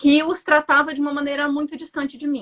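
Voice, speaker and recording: With a bright, sharp tone, a woman speaks at a high pitch. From Brasília. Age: 30s. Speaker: psychologist. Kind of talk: interview. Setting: video call.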